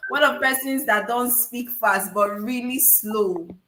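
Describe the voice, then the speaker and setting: A woman with a high-pitched voice is heard against noticeable background noise. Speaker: public speaking coach. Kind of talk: webinar Q&A. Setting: online webinar.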